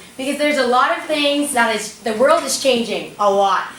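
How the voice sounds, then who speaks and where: Amid noticeable background noise and audible room echo, a woman with a high pitch and animated tone speaks in a raised, projected voice. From Bahamas. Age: young. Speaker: motivational speaker. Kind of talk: motivational talk to students.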